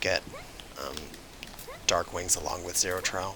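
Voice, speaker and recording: There is noticeable background noise as a man speaks at a fairly quick pace. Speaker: video game guide creator. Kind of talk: gameplay tutorial commentary.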